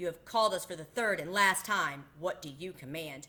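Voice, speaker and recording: A woman's put-on, growling character voice, fairly low in pitch, at a moderate pace. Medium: read story.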